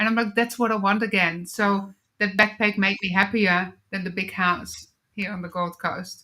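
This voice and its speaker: With a Dutch accent, a woman speaks in a bright, sharp tone and fairly even intonation. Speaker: wellness coach and author. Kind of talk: interview testimony.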